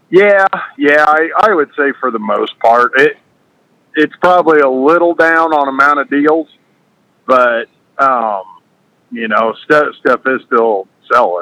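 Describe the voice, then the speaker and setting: A man with a bright, sharp tone and fairly high pitch speaks at a fairly slow pace with lively intonation and long, frequent pauses. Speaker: farm equipment dealer. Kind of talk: casual conversation.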